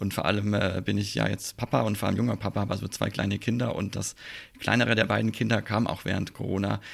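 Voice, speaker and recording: A man at a fairly low pitch and a very fast pace, with fairly even intonation. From Swabia, Germany. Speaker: airline pilot and podcaster. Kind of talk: casual chat.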